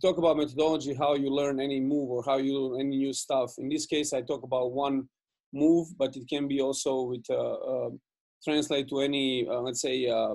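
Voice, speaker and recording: A man with a Serbian accent speaks at a fairly quick pace and fairly high pitch in a monotone, flat delivery. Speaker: basketball coach. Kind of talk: coaching webinar presentation. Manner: fast; halting, many fillers and repeats.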